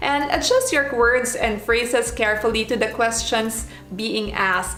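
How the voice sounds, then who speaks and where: Music plays in the background as the speaker goes at a fairly slow pace with ordinary pitch variation and very even loudness, with audible room echo. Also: woman, fairly high pitch for a woman. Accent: non-native. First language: not English. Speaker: former flight attendant, vlogger. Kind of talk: advice vlog.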